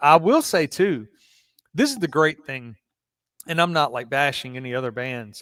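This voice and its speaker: A man with a strong Southern accent and fairly high pitch talks at a moderate pace with ordinary pitch variation, big swings in loudness and long, frequent pauses. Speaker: podcast host. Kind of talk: casual interview.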